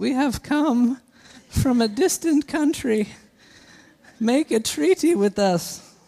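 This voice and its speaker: In a put-on character voice, the speaker sounds raspy and weary at a fairly high pitch, moving at a fairly slow pace with long, frequent pauses. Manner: parched, weary.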